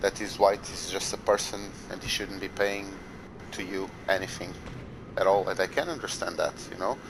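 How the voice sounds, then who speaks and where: A man with a fairly low pitch, a moderate pace, fairly even intonation and long, frequent pauses, over noticeable background noise. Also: big swings in loudness. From Portugal. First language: Portuguese. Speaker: gamer. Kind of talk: heated debate.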